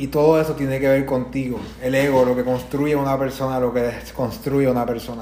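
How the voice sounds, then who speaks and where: A man speaks at a fairly quick pace. Audible room echo and noticeable background noise come through. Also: medium pitch for a man. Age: 20s. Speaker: podcast host and entrepreneur. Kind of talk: motivational live stream talk. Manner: animated.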